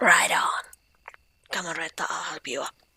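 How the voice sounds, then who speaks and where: A woman whispers in a put-on character voice. Her pace is moderate. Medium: solo performance.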